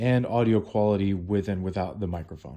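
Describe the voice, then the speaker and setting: A man speaks at a moderate pace with a fairly low pitch. His pitch varies in an ordinary way against a quiet background. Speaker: product reviewer. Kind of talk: tutorial. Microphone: phone near.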